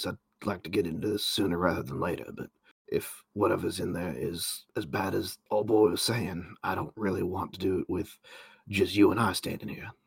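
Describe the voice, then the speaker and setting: Putting on a character voice, a man talks in a raspy, fairly low register at a moderate pace with ordinary pitch variation. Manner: sardonic, gruff.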